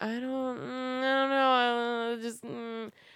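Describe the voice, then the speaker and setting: A female-sounding, put-on character voice with a high pitch. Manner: girly, put-on.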